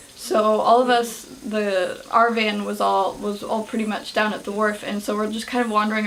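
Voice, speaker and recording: There is noticeable background noise and audible room echo. A woman with an American accent speaks at a moderate pace in a fairly high pitch. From United States. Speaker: vlogger. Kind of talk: casual vlog. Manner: hesitant, many fillers.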